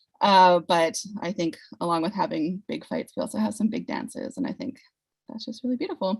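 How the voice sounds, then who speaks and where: Here, a woman speaks with a medium pitch. Her intonation is lively. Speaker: panel moderator. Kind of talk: formal public event, conversational.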